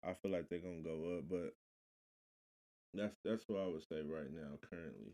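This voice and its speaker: A mumbling man with an American accent, very deep and low in pitch, dark and mellow in tone, fairly even in intonation, with long, frequent pauses and a dry, close sound with no echo. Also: moderate pace. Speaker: local musician and business owner. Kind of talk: casual interview. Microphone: quiet at first, mic adjusted.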